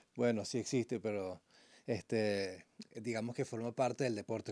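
Dark and mellow in tone, a man speaks at a moderate pace with monotone, flat intonation. The recording is very clean with a silent background, and the sound is dry and close with no echo. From Venezuela. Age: 40s. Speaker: climber and biologist. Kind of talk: radio interview.

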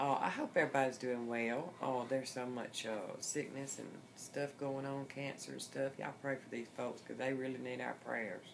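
A woman's very deep, low voice at a moderate pace, fairly even in intonation, over light background noise. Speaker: vlogger. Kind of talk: casual vlog chat. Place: home room. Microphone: phone near.

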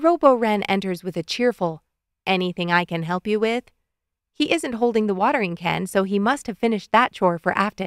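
The background stays quiet while the text is read aloud in a natural voice whose pitch varies in an ordinary way.

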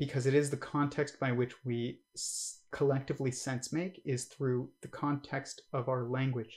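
Somewhat breathy, a man talks at a fairly slow pace with monotone, flat intonation. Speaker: livestream host reacting to a podcast; livestream host. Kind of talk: casual commentary on livestream. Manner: hesitant, many fillers. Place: home room.

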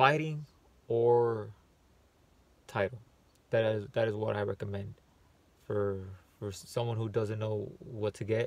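Recorded with a dry sound and no echo, a man speaks at a moderate pace with fairly even intonation. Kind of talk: casual vlog tutorial. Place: car. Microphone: phone near.

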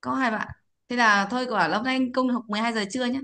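A woman speaks at a very fast pace in an animated, bright, sharp tone. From Vietnam. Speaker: English pronunciation teacher. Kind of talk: online class lesson. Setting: video call. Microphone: video call.

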